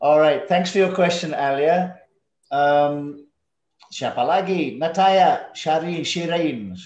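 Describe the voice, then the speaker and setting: Audible room echo surrounds a man speaking at a very slow pace. His pitch is high and his loudness very even. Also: ordinary pitch variation. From southwest London, England. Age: 50s. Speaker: English teacher. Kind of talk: online class. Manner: slow, clear.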